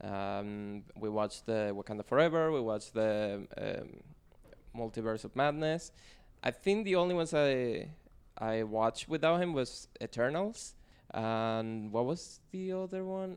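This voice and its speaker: A man with a Spanish accent speaks at a fairly slow pace in a medium pitch, his voice swinging very widely up and down. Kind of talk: casual chat. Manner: joking.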